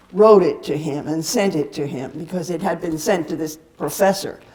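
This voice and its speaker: Through noticeable background noise, a woman with an American accent speaks with ordinary pitch variation. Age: 80s+. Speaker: peace activist. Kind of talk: talk at a seminar. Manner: halting, many fillers.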